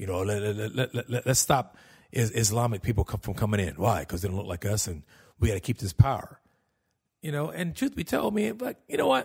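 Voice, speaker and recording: A man speaks with fairly low pitch, lively intonation and a somewhat breathy quality. The recording is very clean, with a silent background. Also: fairly quick pace. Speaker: podcast host and comedian. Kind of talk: casual solo podcast monologue, comedic. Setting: home recording, alone. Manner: candid, self-deprecating, profane.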